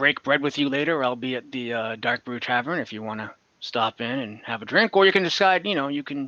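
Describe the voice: Lively intonation in plain reading aloud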